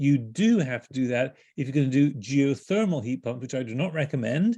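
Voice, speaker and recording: With a British accent, a man of medium pitch talks at a fairly quick pace, his tone dark and mellow and his intonation lively. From Britain. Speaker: home energy speaker, author. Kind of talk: webinar presentation.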